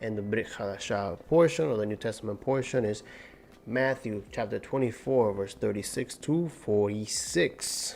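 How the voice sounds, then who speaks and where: Lively intonation marks a man speaking at a fairly slow pace with music in the background. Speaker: bible teacher. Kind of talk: bible study teaching. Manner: deliberately enunciating.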